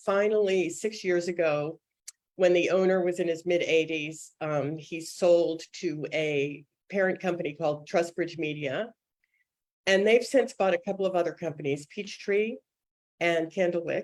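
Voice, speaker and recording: Pitched fairly low, a woman speaks with an American accent and ordinary pitch variation. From US Northeast (suburban Boston). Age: 60s. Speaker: children's book editor. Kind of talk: interview. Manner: fast.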